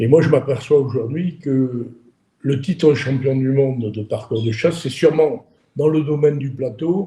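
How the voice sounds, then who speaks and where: A man's fairly high voice carries a dark, mellow tone, somewhat breathy, with ordinary pitch variation. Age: 30s. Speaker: interviewer, shooting sport business. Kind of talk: interview. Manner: hesitant, many repetitions.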